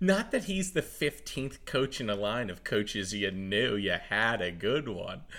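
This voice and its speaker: Vocal fry at a fairly slow pace, with very wide pitch swings, on a very clean recording with a silent background. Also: man. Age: 30s. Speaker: sports podcast host. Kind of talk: casual chat.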